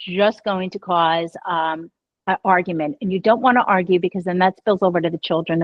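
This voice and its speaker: A woman speaks at a medium pitch for a woman. Her pace is moderate. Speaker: radio and podcast host, divorce expert. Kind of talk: interview. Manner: calm.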